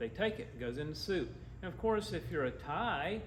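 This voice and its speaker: A man with an Appalachian accent speaks at a moderate pace with lively intonation. Audible room echo and noticeable background noise surround him. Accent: Southern US (Appalachian). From US South, western North Carolina / east Tennessee. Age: 60s. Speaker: agriculture nonprofit co-founder. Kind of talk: club talk with slides. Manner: casual, animated.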